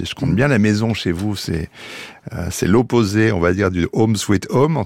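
Using an unremarkable speaking voice, a man talks at a fairly quick pace, pitched fairly low, with lively intonation. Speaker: radio host. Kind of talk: radio interview.

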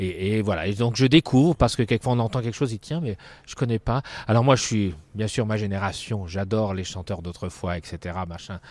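A man's plain, everyday voice, fairly low with ordinary pitch variation and big swings in loudness, at a fairly quick pace over a quiet background. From northern France, Dunkirk. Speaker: circus ringmaster. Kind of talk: casual interview. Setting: outdoors in a park.

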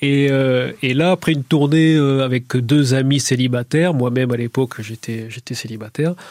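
At a moderate pace with hardly any pauses, a man with a medium pitch talks with fairly even intonation, in a dry, close sound with no echo. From southern France, Béziers. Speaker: psychiatrist and painter. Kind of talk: radio interview. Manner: halting, many repetitions.

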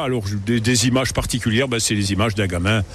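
A man's fairly low voice with fairly even intonation, audible room echo and noticeable background noise. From Lorraine, Moselle (Yutz). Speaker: local politician. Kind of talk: radio interview. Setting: on a boat.

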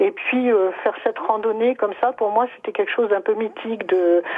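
Her voice is a plain, everyday voice, a woman's at a fairly high pitch with ordinary pitch variation. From Charente-Maritime, France. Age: 60s. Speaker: caller, hiker. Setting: phone call.

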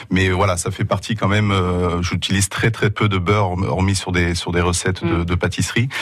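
Music plays in the background as a man speaks in a very deep, low voice. His delivery is monotone and flat, at a moderate pace. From Asturias, northern Spain. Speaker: restaurateur. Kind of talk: radio interview.

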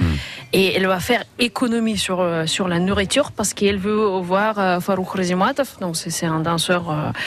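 A woman with a slight Russian accent at a medium pitch, fairly even in intonation, at a moderate pace over music in the background. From Russia (Leningrad). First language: Russian (speaking French). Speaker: association president. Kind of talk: radio talk show. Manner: halting.

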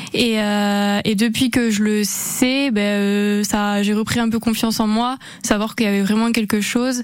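Over noticeable background noise, a woman with a fairly high voice speaks at a fairly slow pace, her intonation monotone and flat and her loudness very even. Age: 20s. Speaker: amateur triathlete. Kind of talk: radio interview. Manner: hesitant, with fillers.

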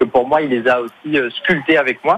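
His voice sits at a fairly high pitch. The speaker is a man. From Marseille, southern France. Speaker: comedian. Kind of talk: radio interview. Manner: halting.

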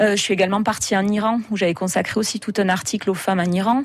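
A woman talks at a very fast pace, her medium pitch held in fairly even intonation. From southern France, Hérault (Béziers area). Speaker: travel blogger and photographer. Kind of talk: radio interview.

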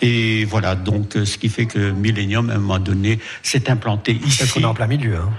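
A fairly low-pitched man speaking at a fairly quick pace, with fairly even intonation, very even loudness and music in the background. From northern France, Pas-de-Calais mining area. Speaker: author of a book on the Polish diaspora. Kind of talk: radio interview. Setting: live outdoor broadcast.

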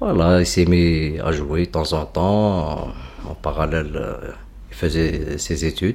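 Very deep and low, a man's voice moves at a very slow pace with ordinary pitch variation and vocal fry. Long pauses come often. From Tlemcen, Algeria. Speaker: son of a music producer. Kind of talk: interview.

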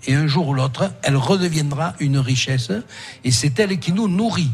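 The man speaks with lively intonation. Audible room echo surrounds his voice. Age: 60s. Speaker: senator. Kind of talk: radio interview. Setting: restaurant, live broadcast.

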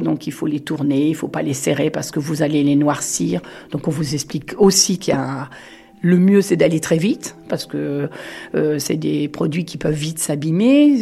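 Over noticeable background noise, a woman with a very deep, low pitch talks at a fairly slow pace with ordinary pitch variation. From France, Touraine. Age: 60s. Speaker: former mushroom picker. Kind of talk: interview testimony. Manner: hesitant, frequent filler sounds.

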